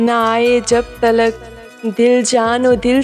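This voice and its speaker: Background music accompanies a woman whose pitch is fairly high. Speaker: voiceover artist. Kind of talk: poetry reading. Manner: emotional, soulful.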